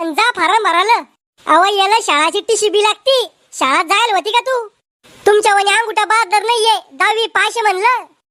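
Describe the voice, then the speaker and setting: In a cartoonish character voice at an extremely high pitch, a woman talks at a moderate pace with ordinary pitch variation, and the sound is dry and close with no echo. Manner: quarrelsome, taunting.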